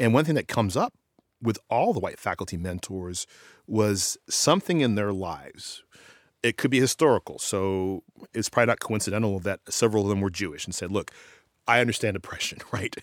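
A man talks at a fairly quick pace in a fairly low pitch with ordinary pitch variation, an unremarkable speaking voice. The recording is very clean, with a silent background and a dry, close sound with no echo. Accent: American. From Austin, Texas. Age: 40s. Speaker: professor of education. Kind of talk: interview.

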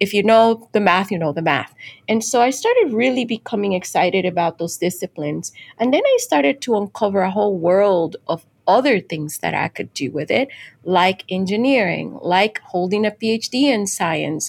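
The woman speaks with a Spanish accent and lively intonation. Her sound is dry and close, with no echo. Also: medium pitch for a woman, moderate pace. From Dominican Republic. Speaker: chemical engineering professor. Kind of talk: interview.

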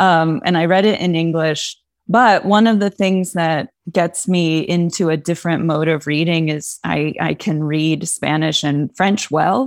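A woman with an American accent speaks at a fairly slow pace in a plain, everyday voice, her pitch fairly low with ordinary variation. The recording is very clean, with a silent background. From Pennsylvania, Poconos. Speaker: English professor. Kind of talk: interview.

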